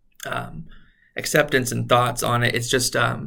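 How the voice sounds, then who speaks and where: At a moderate pace, a man speaks with noticeable vocal fry. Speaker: lobbyist who stutters. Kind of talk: testimonial. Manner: halting, many fillers.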